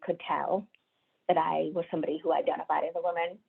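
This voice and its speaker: A woman talks at a moderate pace. She speaks with an American accent. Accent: deaf Indian American. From India. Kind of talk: webinar talk. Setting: video call.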